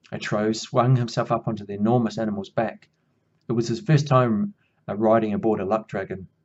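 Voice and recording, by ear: Someone reads aloud in a natural voice with ordinary pitch variation. The background is quiet.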